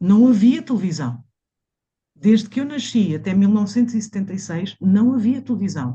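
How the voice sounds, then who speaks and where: A woman's somewhat breathy voice, dark and mellow in tone, rises and falls with lively intonation. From Mozambique, then Portugal from age 12. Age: 60s. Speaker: massage therapist. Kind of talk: interview conversation. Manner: hesitant, many fillers and repetitions.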